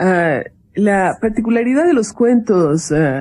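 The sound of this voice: Her pitch varies in an ordinary way. The woman's voice has a dark, mellow tone.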